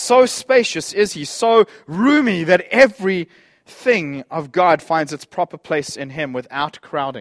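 In a dry, close sound with no echo, a man speaks with a passionate tone at a high pitch and with lively intonation. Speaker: preacher. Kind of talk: sermon. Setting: church. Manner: informal, passionate.

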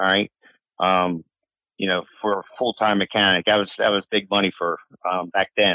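Monotone, flat delivery with an American accent, a moderate pace and long, frequent pauses. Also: man, fairly low pitch for a man. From Delaware, US. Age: 60s. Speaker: racing mechanic. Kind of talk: interview.

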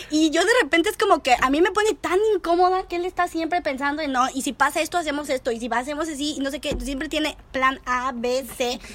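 A woman with a Mexican accent talks at a fairly quick pace and high pitch. Noticeable background noise sits behind her. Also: ordinary pitch variation. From Mexico. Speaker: podcast host. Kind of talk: casual chat. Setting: recording over a beer with a friend.

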